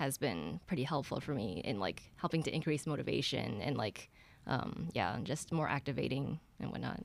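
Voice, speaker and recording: A woman speaks with vocal fry at a very deep, low pitch and a moderate pace. Her pitch swings very widely. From US Midwest, Ann Arbor, Michigan. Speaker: college student sharing mental health story. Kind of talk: personal testimony.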